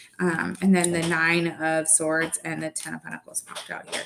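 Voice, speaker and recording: A woman speaks with a bright, sharp tone. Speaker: tarot reader. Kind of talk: live tarot reading. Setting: livestream. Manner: casual, filler-heavy.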